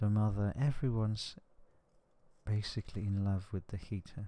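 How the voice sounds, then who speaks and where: The voice is soft-spoken with a gentle, dark, mellow tone. Its intonation stays monotone and flat. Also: man. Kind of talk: ASMR relaxation talk. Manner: soft-spoken, gentle.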